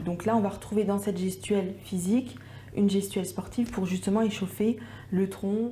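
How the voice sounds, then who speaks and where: Medium pitch from a woman, fairly even intonation and a moderate pace, against noticeable background noise. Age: 20s. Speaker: entrepreneur. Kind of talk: interview testimony. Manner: hesitant, many fillers.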